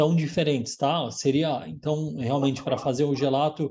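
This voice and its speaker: A man with an ordinary speaking voice, fairly high in pitch, talks at a fairly slow pace. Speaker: gelato instructor. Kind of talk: casual chat.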